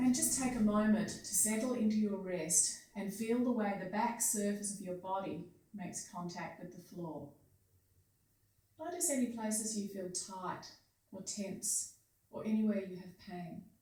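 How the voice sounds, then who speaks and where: A woman with an Australian accent and medium pitch speaks in a calm tone at a fairly slow pace, with big swings in loudness. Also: ordinary pitch variation. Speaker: physiotherapist and Feldenkrais practitioner. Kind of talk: guided movement lesson instruction. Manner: slow, calm.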